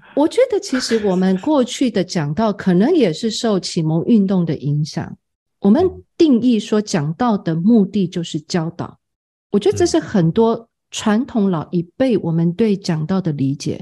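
A woman speaks fairly slowly in a dark, mellow, somewhat breathy tone with lively intonation. The background is quiet. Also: medium pitch for a woman. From Taiwan, Tamsui. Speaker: seminary president and homiletics professor. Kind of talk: interview.

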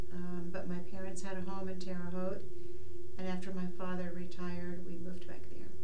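Noticeable background noise around a woman speaking at a moderate pace. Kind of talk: interview answer. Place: studio.

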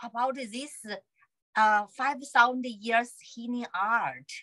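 A woman with a Chinese accent speaks in a bright, sharp tone at a high pitch. Her pace is very slow, and the background is quiet. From China. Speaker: acupuncturist. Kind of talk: interview conversation. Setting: video call. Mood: warm, cheerful. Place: home room. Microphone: video call.

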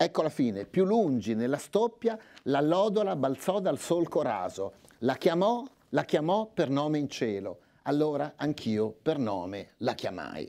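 Against a quiet background, a man with a fairly high pitch and a dark, mellow tone makes very wide pitch swings. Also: fairly slow pace. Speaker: literary scholar. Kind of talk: lecture. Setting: stage with audience. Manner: formal. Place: hall. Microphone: lapel.

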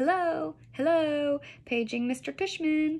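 This is a put-on character voice delivered at a fairly slow pace. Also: woman. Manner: fake, joking.

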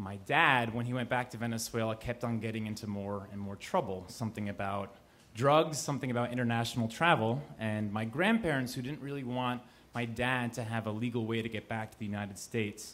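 A man at a fairly quick pace with ordinary pitch variation. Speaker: storyteller. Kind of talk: live storytelling performance. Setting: live audience in a cafe. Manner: casual, conversational with hesitations. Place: cafe. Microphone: handheld.

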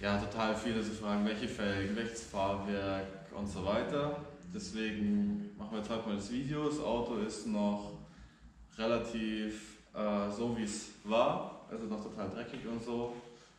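Fairly even intonation marks a man's fairly low voice. Audible room echo and light background noise come through. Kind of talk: casual vlog chat. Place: garage. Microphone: camera far.

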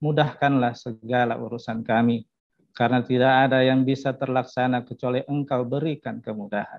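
A man speaks at a fairly quick pace in a flat, monotone delivery against a quiet background. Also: dry sound with no echo. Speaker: prayer leader. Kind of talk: prayer. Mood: solemn, reverent. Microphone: video call.

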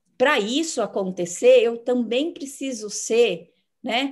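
A woman speaks with a high pitch. Her pace is very slow, and the background is quiet. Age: 50s. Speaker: psychologist; host or guest in an online conversation. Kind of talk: interview. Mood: warm, animated. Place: home room. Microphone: video call.

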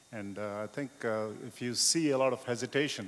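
A man's voice with lively intonation. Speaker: audience member. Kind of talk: audience question at a conference. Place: hall. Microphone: handheld.

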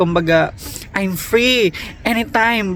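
Noticeable background noise accompanies speech delivered very slowly. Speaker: vlogger. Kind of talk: casual vlog monologue. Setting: outdoors at a bus stop.

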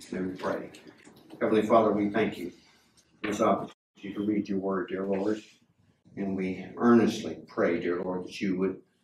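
Monotone, flat intonation at a moderate pace with long, frequent pauses, audible room echo and light background noise. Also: man, fairly low pitch for a man. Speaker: pastor. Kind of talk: scripture reading and prayer. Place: church.

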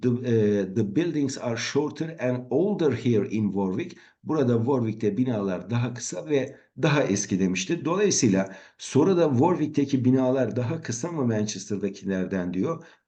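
A man's dark, mellow voice at a fairly slow pace, with lively intonation. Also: medium pitch for a man. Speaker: English teacher. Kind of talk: tutorial. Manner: halting.

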